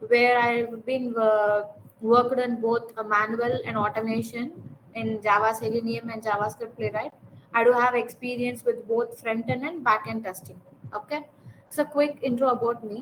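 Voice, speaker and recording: With a Tamil accent, a woman talks at a moderate pace and a fairly high pitch. Her intonation is fairly even, and there is noticeable background noise. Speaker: software testing tutor. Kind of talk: class introduction.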